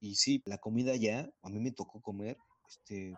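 Dry and close with no echo, a man with a fairly low pitch speaks at a moderate pace in a plain, everyday voice with fairly even intonation. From central Mexico. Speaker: podcast co-host. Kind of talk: casual chat.

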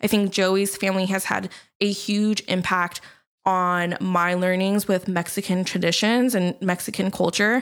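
On a very clean recording with a silent background, a woman speaks at medium pitch with monotone, flat intonation and very even loudness. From Southern California, Long Beach. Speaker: podcast co-host. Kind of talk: casual chat.

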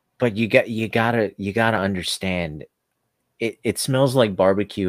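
A normal speaking voice moves at a fairly quick pace. The recording is very clean with a silent background, and the sound is dry and close with no echo. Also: man. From South Africa, moved to US at six. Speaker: stand-up comedian. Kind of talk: comedic improv chat.

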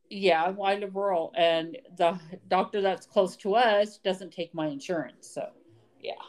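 In a normal speaking voice, a woman with an American accent talks fairly slowly at a medium pitch with ordinary pitch variation. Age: 50s. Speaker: podcast co-host. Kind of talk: casual chat.

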